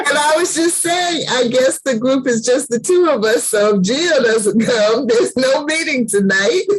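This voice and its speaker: Over noticeable background noise, a woman with a high pitch talks at a moderate pace with hardly any pauses, lively intonation and very even loudness. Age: 60s. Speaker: book club host. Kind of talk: casual chat.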